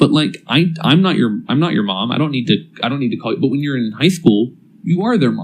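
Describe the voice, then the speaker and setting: Speaking at a fairly quick pace, a man with a fairly high pitch and vocal fry swings his pitch very widely. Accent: American. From California, Salinas Valley. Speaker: college professor. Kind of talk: casual chat.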